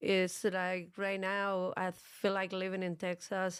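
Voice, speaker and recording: The speaker has a strong Argentine accent. It's a very clean recording with a silent background. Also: woman. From Argentina, Buenos Aires. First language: Spanish. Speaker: fitness and jiu-jitsu coach, gym co-owner. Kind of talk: interview. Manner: tries not to speak too fast.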